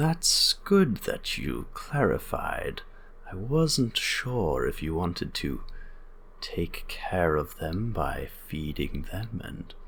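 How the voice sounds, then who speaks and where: Delivered very slowly in a put-on character voice, the speech comes with clear background noise. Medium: actual play. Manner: formal, measured, stiffly literal.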